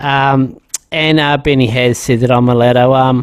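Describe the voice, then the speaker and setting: Speaking at a fairly slow pace, a man with an Australian accent talks at medium pitch. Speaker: podcast host. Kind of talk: casual chat. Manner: halting, many fillers.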